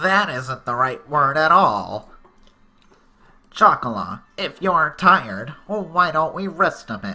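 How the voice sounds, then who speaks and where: Using a put-on character voice, a man speaks fairly slowly at fairly high pitch, with very wide pitch swings and big swings in loudness. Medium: read story. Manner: soft-spoken, gentle.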